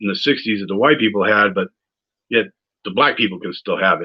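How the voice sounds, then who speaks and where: A man is speaking. He has a New England accent. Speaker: political candidate. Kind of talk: campaign video monologue. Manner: rambling, hesitant with fillers.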